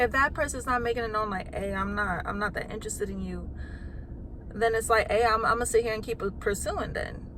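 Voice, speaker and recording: The woman talks fairly quickly, and the background noise is noticeable. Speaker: vlogger. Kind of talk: casual monologue to camera. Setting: at home. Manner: loud, sounds like yelling; animated, passionate.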